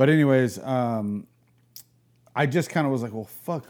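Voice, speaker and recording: A man speaks at a fairly quick pace in a plain, everyday voice with ordinary pitch variation. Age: 40s. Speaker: artist, chopper builder and real estate agent. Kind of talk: casual chat. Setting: in person at his place.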